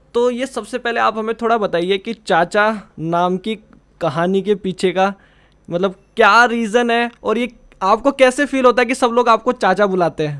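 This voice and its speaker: With ordinary pitch variation, a high-voiced man is captured on a very clean recording with a silent background. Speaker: podcast host. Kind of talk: podcast interview questions.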